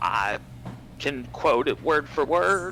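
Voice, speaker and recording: Over clear background noise, a man puts on a character voice. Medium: actual play.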